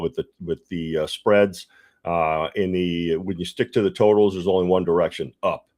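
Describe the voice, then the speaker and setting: With fairly even intonation and a fairly quick pace, the voice sounds dry and close with no echo against a quiet background. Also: man. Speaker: sports betting livestream host. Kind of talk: casual livestream talk. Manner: fast; halting, many fillers and repeats.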